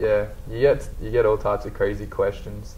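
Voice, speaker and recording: Someone with an Australian accent talks at a fairly quick pace with audible room echo. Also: man. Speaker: college basketball player. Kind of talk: interview.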